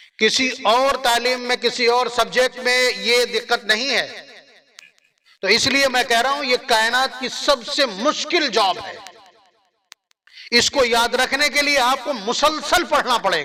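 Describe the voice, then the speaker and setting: A man with an extremely high pitch speaks in a raised, projected voice with a passionate tone. His intonation stays fairly even. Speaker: Islamic scholar giving a sermon. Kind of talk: religious sermon (bayan) to an audience. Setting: public gathering (jalsa). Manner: emphatic, rhetorical, passionate.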